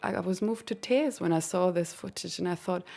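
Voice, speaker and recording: A woman speaks at medium pitch with a German accent. The recording is very clean, with a silent background. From Germany. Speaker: composer. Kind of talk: interview.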